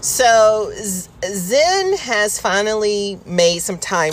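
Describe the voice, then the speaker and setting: Her tone is animated, with lively intonation. Noticeable background noise can be heard. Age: 40s. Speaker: podcast host. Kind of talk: casual chat. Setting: in a car by the roadside. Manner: animated, laughing often.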